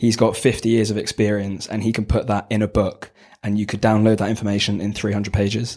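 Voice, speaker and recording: This man's voice sits fairly low and stays monotone and flat. He talks at a fairly quick pace. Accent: London. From southwest London. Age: 20s. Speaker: business student on placement. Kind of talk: casual interview.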